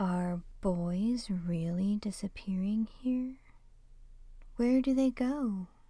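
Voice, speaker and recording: A woman's put-on character voice, medium in pitch, at a very slow pace. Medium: read story. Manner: blunt, unsmiling.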